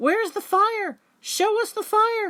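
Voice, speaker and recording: In a put-on character voice, a woman talks at a fairly slow pace, squeaky and extremely high in pitch. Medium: read story. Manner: mocking.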